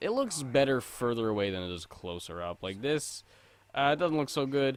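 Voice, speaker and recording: A man with a fairly high pitch speaks at a moderate pace in an unremarkable speaking voice, on a very clean recording with a silent background. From Canada. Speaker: gaming streamer. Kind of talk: live gameplay commentary. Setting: live stream. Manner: casual, chatty.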